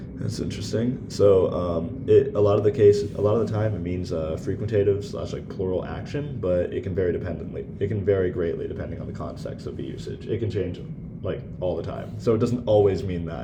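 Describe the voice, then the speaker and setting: Over noticeable background noise and audible room echo, a man speaks at a fairly quick pace with hardly any pauses, his fairly low pitch varying in an ordinary way. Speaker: student giving class presentation. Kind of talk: recorded class presentation. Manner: halting, many fillers; hurried.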